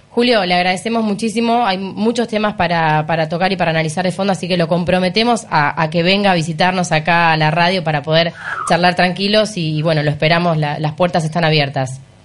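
A woman talks at a very fast pace with hardly any pauses, her fairly low voice showing ordinary pitch variation. Her loudness stays very even over noticeable background noise. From Argentina, Mar del Plata. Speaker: radio co-host. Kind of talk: radio interview.

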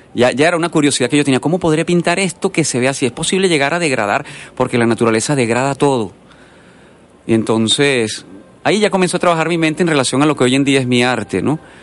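Speaking very fast, a man with a fairly high pitch keeps ordinary pitch variation and very even loudness. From Venezuela. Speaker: painter. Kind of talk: radio interview. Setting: radio studio.

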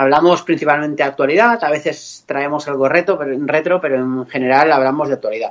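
Here is a man with a normal speaking voice and a fairly high pitch. He talks at a fairly quick pace with ordinary pitch variation. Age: 40s. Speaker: podcaster guest. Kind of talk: casual chat.

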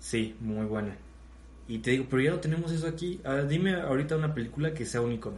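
With audible room echo, a somewhat breathy man speaks very fast at a medium pitch. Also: ordinary pitch variation. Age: 20s. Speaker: podcast host. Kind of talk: casual chat.

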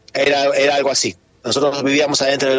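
The man's medium-pitched voice competes with noticeable background noise. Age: 50s. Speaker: flamenco dancer. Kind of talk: interview.

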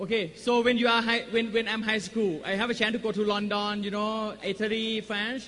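A man's high-pitched voice at a moderate pace, with hardly any pauses. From Thailand. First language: Thai (speaking Spanish). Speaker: network marketing business owner. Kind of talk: motivational talk. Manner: short phrases paused for interpreter; animated.

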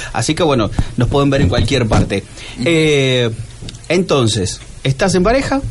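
Over noticeable background noise, a man with a fairly high pitch talks at a moderate pace, his intonation lively and his loudness very even. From Argentina. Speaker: radio host. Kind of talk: casual chat.

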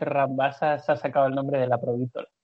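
A man's voice, fairly high in pitch. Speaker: basketball podcast co-host. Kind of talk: casual chat.

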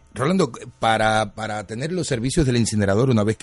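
A man's fairly low voice at a fairly quick pace, with music in the background. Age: 50s. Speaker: radio host. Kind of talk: radio interview.

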